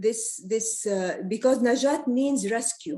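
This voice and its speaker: A woman's tone is dark and mellow. She speaks at a very slow pace. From Palestine. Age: 70s. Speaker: artist. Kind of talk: talk about her art and heritage. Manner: halting, many fillers and repetitions.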